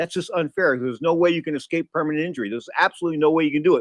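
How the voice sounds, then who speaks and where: A man talks in an animated tone at a very fast pace, his voice high-pitched. The sound is dry and close, with no echo. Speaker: boxing radio host. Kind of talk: live sports talk show. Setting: studio.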